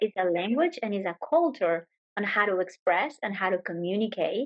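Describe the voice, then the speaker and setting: This woman speaks at a moderate pace with a Spanish accent, a medium pitch, and lively intonation. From Venezuela. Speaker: yoga teacher. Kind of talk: interview answer.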